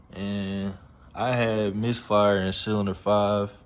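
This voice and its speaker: Very slow speech from a man at fairly low pitch, with audible room echo. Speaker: amateur car mechanic, YouTuber. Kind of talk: casual repair tutorial. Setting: home garage.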